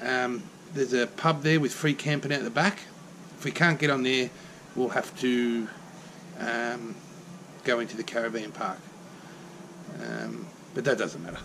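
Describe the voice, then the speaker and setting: A man speaks at a moderate pace with ordinary pitch variation and long, frequent pauses. Noticeable background noise is present. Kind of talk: casual vlog chat. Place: garage. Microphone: phone near.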